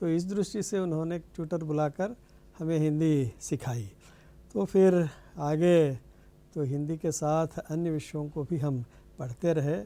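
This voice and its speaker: With a Telangana accent, a man speaks at a fairly high pitch in a dark, mellow tone with ordinary pitch variation. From India, Andhra Pradesh (East Godavari). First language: Telugu (speaking Hindi). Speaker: Hindi professor. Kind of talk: TV interview.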